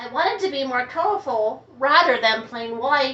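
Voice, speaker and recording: In a put-on character voice, a woman speaks at a high pitch. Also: moderate pace. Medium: read story.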